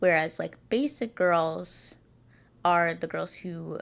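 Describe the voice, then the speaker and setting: A woman speaks at a fairly slow pace, her pitch fairly low. The recording is very clean, with a silent background. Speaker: podcast host. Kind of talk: solo podcast monologue. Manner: casual, filler-heavy.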